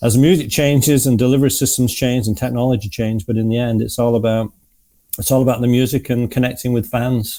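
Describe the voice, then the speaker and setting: Talking at a very fast pace, a man with a dark, mellow tone has a slight Manchester accent. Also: medium pitch for a man, fairly even intonation. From northern England, Manchester. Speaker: music association executive and former musician. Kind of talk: interview. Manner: hesitant, many fillers.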